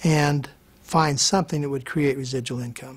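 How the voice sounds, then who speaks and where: At a moderate pace, a man talks in a fairly high, somewhat breathy voice with fairly even intonation. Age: 60s. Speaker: network marketing distributor. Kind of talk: testimony.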